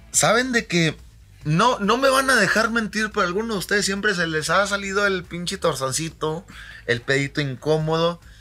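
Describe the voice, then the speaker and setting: A man with a Mexican accent, raised and projected, high-pitched, with a bright, sharp and animated tone at a moderate pace. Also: lively intonation. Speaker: podcast co-host. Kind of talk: casual chat over beers. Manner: animated, laughing.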